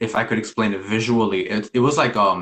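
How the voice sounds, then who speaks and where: A man talks in an ordinary speaking voice at a medium pitch. His intonation is fairly even. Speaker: spiritual practitioner. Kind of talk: casual interview.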